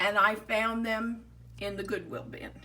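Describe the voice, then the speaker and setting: A woman speaks very slowly in an American accent. Her pitch sits fairly high. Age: 70s. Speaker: toy collector and hobby crafter. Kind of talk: show-and-tell tutorial narration.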